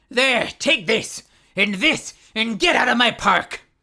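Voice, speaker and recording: A fairly slow, put-on character voice, female-sounding and fairly high in pitch, on a very clean recording with a silent background. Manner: angry, grumpy.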